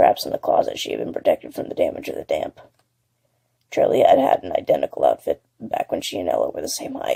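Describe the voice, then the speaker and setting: Raspy and very fast, a man talks in a put-on character voice. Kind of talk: horror audiobook narration. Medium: read story.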